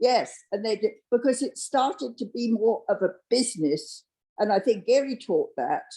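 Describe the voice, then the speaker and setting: A woman's fairly high voice at a moderate pace, with very wide pitch swings and a dark, mellow tone. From England. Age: 50s. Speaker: real estate agent. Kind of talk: interview. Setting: live-streamed interview with studio audience.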